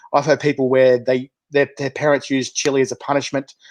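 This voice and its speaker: Against a quiet background, a man with an Australian accent speaks fairly quickly at a fairly high pitch in a monotone, flat intonation, captured with a dry, close sound and no echo. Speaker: chilli show host. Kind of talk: casual interview. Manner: fast.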